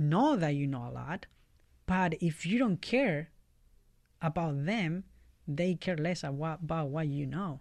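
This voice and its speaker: A man with a Chilean accent, high-pitched for a man, at a fairly slow pace against a quiet background. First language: Spanish. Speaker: YMCA community worker. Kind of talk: interview. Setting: studio.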